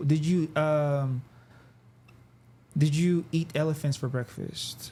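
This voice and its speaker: A man talks at a very slow pace in a fairly high pitch. His voice is somewhat breathy, with monotone, flat intonation. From Nigeria, moved to Canada then Texas as a child. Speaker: artist and designer. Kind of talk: podcast interview. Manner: casual, halting with many fillers.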